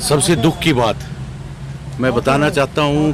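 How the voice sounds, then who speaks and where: Speaking fairly high for a man, he is heard through noticeable background noise and audible room echo. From Kashmir. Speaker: election volunteer. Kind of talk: street interview.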